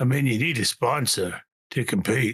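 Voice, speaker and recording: In a put-on character voice, a man speaks raspy and medium-pitched at a moderate pace with ordinary pitch variation. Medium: actual play. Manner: hesitant, halting, full of fillers.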